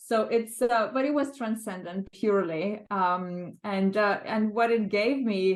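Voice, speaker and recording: A woman with a Lithuanian accent, fairly slow pace, hardly any pauses, ordinary pitch variation, and very even loudness. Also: medium pitch for a woman. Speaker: world record project co-organiser. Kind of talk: interview reflection. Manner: halting, many fillers.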